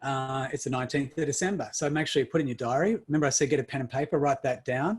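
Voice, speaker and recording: A man's somewhat breathy voice in an Australian accent, very fast, fairly high in pitch, with ordinary pitch variation. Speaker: summit speaker. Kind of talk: online summit talk. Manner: animated.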